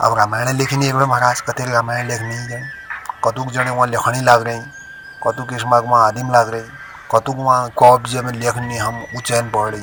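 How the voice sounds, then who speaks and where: Music plays in the background. The intonation is monotone and flat. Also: man, medium pitch for a man. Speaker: storyteller. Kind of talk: folk story narration.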